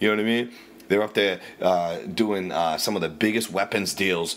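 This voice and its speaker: A man with a Boston accent talks at a fairly quick pace in a bright, sharp tone. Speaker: radio ranter. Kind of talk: casual rant. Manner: profane, animated.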